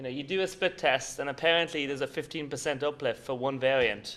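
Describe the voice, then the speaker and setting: A man with an Irish accent speaks fairly quickly at a fairly high pitch. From Ireland. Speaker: conference speaker, paid search agency founder. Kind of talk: conference presentation. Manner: casual, filler-heavy.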